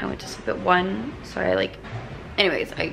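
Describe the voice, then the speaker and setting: Music is heard in the background. The talking goes at a moderate pace. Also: woman. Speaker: vlogger. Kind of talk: casual vlog chat. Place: home room. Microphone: phone near.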